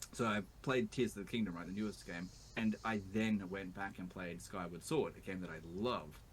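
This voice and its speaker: With an Australian accent and vocal fry, a man talks at a fairly quick pace in a fairly low pitch. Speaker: YouTuber, video game player. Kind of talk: interview. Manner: animated.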